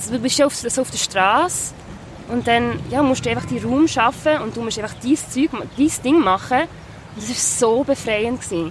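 At a moderate pace, a woman speaks in a high pitch with ordinary pitch variation amid noticeable background noise. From Basel, Switzerland. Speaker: singer-songwriter. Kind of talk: casual interview chat. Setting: outdoors on the Rhine riverbank.

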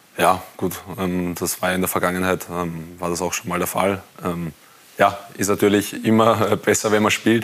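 A man with a very deep, low voice talks at a moderate pace against noticeable background noise. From Austria, Wiener Neustadt district. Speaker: professional goalkeeper. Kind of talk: TV studio talk interview. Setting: TV studio.

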